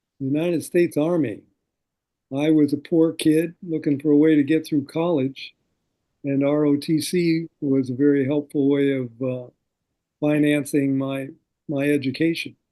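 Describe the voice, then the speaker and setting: An American-accented man with a fairly high pitch and a dark, mellow tone, at a moderate pace, with long, frequent pauses, a monotone, flat intonation and a quiet background. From US Midwest, South Dakota. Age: 70s. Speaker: war veteran. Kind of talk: interview.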